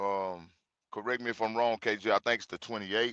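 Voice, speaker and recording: A man's bright, sharp voice in a Mississippi accent, with fairly even intonation and a dry, close sound with no echo. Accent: US Southern (Mississippi). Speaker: religious group host. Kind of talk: livestream introduction. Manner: casual, informal.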